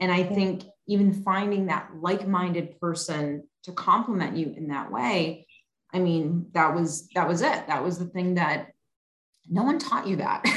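This is an unremarkable speaking voice. It moves at a fairly slow pace with ordinary pitch variation. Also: woman, fairly low pitch for a woman. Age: 40s. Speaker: podcast host. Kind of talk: casual interview chat.

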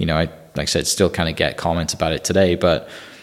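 A man's low voice with an American accent and fairly even intonation

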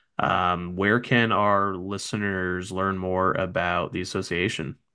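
Against a quiet background, a man with an American accent speaks at a very deep, low pitch in a bright, sharp tone. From North Jersey, US. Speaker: podcast host. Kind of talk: casual chat.

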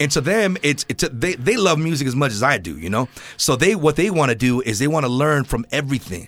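Talking at a very fast pace, a man with a fairly high pitch uses an animated tone, lively intonation and vocal fry. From Southern California. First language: Spanish. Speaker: podcast host. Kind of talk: casual interview. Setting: studio.

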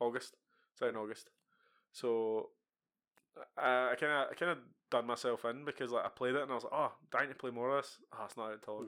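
A man with a Scottish accent speaks at a moderate pace with long, frequent pauses. His medium-pitched voice has a bright, sharp tone and fairly even intonation. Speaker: gaming podcast co-host. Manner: casual, sweary banter.

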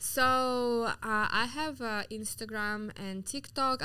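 A woman with a Russian accent speaks very slowly in a bright, sharp tone. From Siberia, Russia (Yakutsk). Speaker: entrepreneur. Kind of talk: interview. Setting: studio. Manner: animated.

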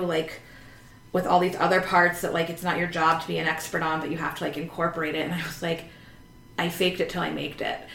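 Noticeable background noise sits behind this recording. A woman with an American accent and fairly low pitch talks at a very fast pace. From Northern Virginia, US. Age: 30s. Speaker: therapist and social worker. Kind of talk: casual chat.

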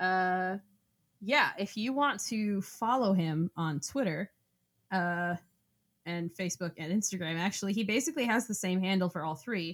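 A woman with an American accent, a plain, everyday voice, medium pitch, ordinary pitch variation and a moderate pace on a very clean recording with a silent background. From Florida. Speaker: podcast co-host. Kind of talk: casual chat.

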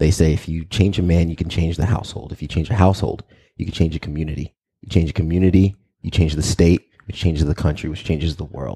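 A man's very deep, low voice in an American accent, very fast and somewhat breathy, dark and mellow in tone, with a dry, close sound and no echo. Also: fairly even intonation. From New York, Long Island. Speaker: local TV news anchor. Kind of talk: casual interview. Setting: studio.

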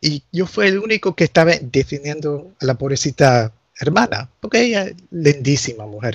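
This man's fairly high voice, somewhat breathy, moves through very wide pitch swings at a moderate pace. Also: dry, close sound with no echo. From US, Nicaraguan family. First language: English (speaking Spanish). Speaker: canon lawyer. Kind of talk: casual interview chat.

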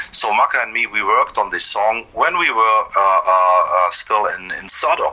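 Over noticeable background noise, a man talks at a fairly slow pace with hardly any pauses. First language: German. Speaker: metal guitarist. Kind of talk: interview. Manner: halting.

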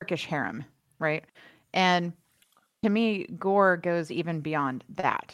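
With an American accent, the speaker talks at a very slow pace with ordinary pitch variation and long, frequent pauses, in a very clean recording with a silent background. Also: woman, fairly low pitch for a woman. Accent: Southern American, shows at times. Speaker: podcast co-host. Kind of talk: casual chat.

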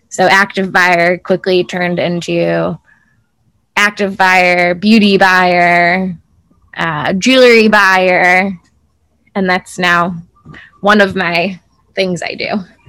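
Here a woman with an American accent speaks very slowly, in a bright, sharp tone. Her intonation is monotone and flat, broken by long, frequent pauses. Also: medium pitch for a woman. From US Midwest, Chicago suburbs. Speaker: entrepreneur and influencer. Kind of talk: casual interview chat. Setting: outdoors on a farm.

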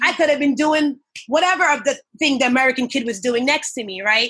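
In a New York accent, a woman talks with a bright, sharp tone. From Long Island, New York, of Jamaican parents. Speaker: nurse and event emcee. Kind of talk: casual interview. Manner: animated.

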